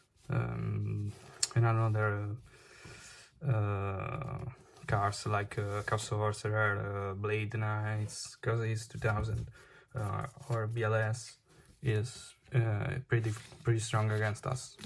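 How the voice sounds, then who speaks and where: A man speaks at a very slow pace in an Italian accent, with long, frequent pauses. His fairly low voice is somewhat breathy and delivered in a flat monotone. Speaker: card game player. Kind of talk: unscripted deck profile tutorial. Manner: halting, many fillers.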